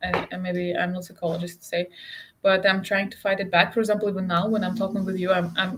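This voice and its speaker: A woman with a Russian accent talks at a fairly quick pace using fairly even intonation. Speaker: interview guest. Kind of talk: casual conversation. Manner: halting.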